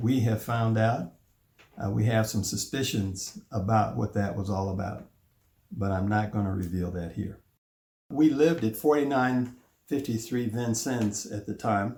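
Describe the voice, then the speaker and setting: At a fairly slow pace, a somewhat breathy man with an American accent speaks at a medium pitch. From US Midwest, Chicago. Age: 70s. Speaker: family elder telling his life story. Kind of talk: oral history narration.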